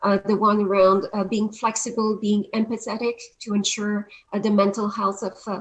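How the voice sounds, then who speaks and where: A woman's somewhat breathy voice at medium pitch, with a French accent, flat monotone intonation and a moderate pace. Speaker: panel moderator. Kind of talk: panel discussion. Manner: hesitant, many fillers.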